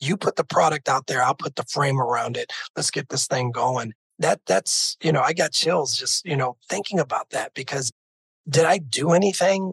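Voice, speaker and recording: Recorded with a dry, close sound and no echo, a man speaks at a moderate pace in a fairly high pitch with ordinary pitch variation. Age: 50s. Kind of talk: interview. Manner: animated.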